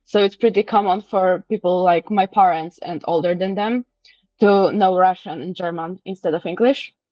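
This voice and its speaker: A woman with a Polish accent speaks at a medium pitch. Her pace is moderate and her intonation fairly even. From Poland. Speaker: interviewee. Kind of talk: casual interview. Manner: halting, with self-corrections.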